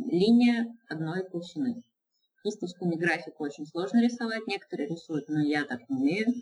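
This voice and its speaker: Moderate pacing from a woman with a somewhat breathy voice. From Izhevsk, Russia. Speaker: illustrator and mural painter. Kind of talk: casual interview. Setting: Skype call, lower audio quality.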